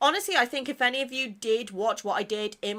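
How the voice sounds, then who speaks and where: A woman speaks in a British accent at a fairly quick pace. Her tone is bright and sharp, and the recording is very clean with a silent background. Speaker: gaming content creator. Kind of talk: casual chat.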